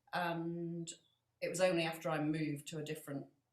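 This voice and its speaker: A woman's very deep, low-pitched voice with a northern English accent. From northern England. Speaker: floral artist and podcast co-host. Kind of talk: casual chat. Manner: hesitant, many fillers.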